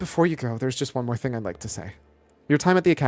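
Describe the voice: The voice is plain reading aloud. Nothing else stands out in the delivery.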